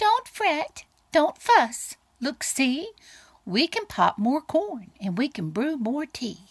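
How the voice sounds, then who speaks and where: Putting on a squeaky character voice, a woman speaks very slowly at a high pitch with very wide pitch swings. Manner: soothing, reassuring.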